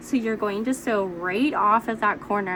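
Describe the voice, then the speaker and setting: Noticeable background noise sits behind a woman with a medium pitch. She speaks at a moderate pace with ordinary pitch variation. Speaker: quilting teacher. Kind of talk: tutorial. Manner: casual.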